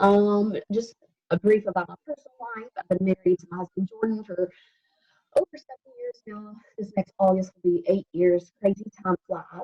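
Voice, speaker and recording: A woman with a Southern US accent, somewhat breathy, medium-pitched, with a dark, mellow tone, dry, close sound and no echo, moderate pace, ordinary pitch variation, and big swings in loudness. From US South, Alabama. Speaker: health coach. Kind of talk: casual chat.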